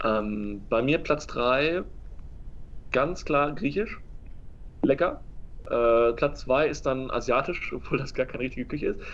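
This man pauses often and at length. His pace is fairly slow. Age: 20s. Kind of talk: casual chat.

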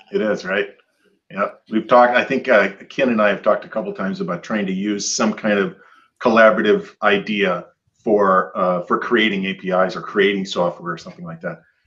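A man speaks at a fairly quick pace with fairly low pitch and ordinary pitch variation. His is an unremarkable speaking voice. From Michigan. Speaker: podcast co-host. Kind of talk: casual chat.

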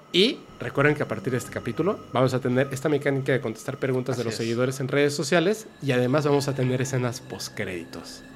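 Over music in the background, a man at medium pitch talks at a very fast pace with hardly any pauses and ordinary pitch variation. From Yucatán, Mexico. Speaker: paranormal podcast host. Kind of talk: casual chat.

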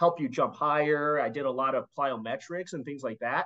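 Speaking at a moderate pace, a man with a fairly high pitch uses an ordinary speaking voice. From US Midwest (Chicago). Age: 30s. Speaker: finance professional and fitness dad.

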